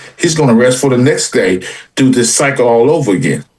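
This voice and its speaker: Music plays in the background while a man speaks at a fairly quick pace. His pitch is medium. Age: 60s. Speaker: sports stream panelist. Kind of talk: casual panel chat.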